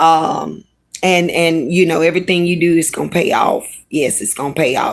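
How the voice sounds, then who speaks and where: A woman with a Louisiana accent speaks at a fairly low pitch on a very clean recording with a silent background. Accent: Southern US (Louisiana). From Louisiana, Baton Rouge. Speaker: live streamer. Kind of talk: casual livestream chat. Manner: animated.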